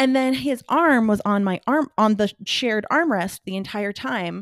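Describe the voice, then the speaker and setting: A plain, everyday voice with lively intonation at a moderate pace, dry and close with no echo, on a very clean recording with a silent background. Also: woman. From California Central Valley. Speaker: podcast co-host. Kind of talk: casual chat. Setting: in person.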